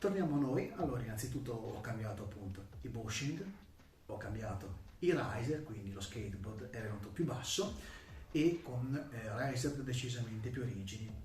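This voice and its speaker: Noticeable background noise sits behind a man at medium pitch. He speaks at a moderate pace with lively intonation. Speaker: electric skateboard reviewer. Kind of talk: product review talk to camera.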